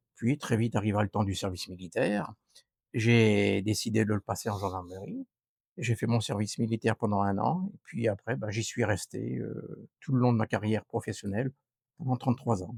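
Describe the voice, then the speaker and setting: At a moderate pace, a man with a fairly low pitch and vocal fry speaks with ordinary pitch variation in a dry, close sound with no echo. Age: 60s. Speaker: retired gendarme, local election candidate. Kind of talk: interview. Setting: outdoors on a terrace.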